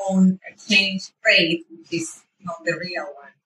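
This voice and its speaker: In a Spanish accent, a woman talks at a medium pitch with monotone, flat intonation. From Venezuela. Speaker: runner. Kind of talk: interview.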